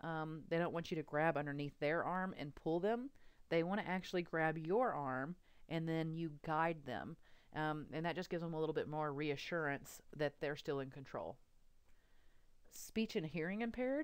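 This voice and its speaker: A woman with a Texas accent, very deep and low in pitch, at a moderate pace with ordinary pitch variation. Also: very clean recording, silent background. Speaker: radiography instructor. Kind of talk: lecture. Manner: hesitant, frequent ums.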